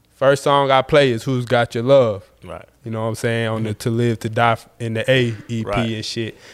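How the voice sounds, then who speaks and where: A man's medium-pitched, unremarkable speaking voice at a moderate pace, with ordinary pitch variation. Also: big swings in loudness. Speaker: podcast host. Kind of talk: casual interview chat.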